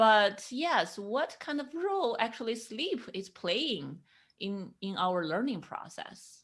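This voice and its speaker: In a very clean recording with a silent background, a woman with a Chinese accent and a fairly high voice speaks very slowly, her pitch swinging very widely. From China. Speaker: podcast host, sleep psychologist. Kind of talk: podcast interview.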